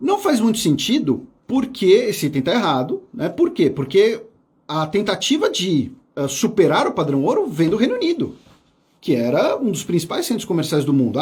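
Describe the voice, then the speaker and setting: With very wide pitch swings, this man speaks fairly quickly. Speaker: history teacher. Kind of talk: live exam review lecture. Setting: studio. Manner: fast.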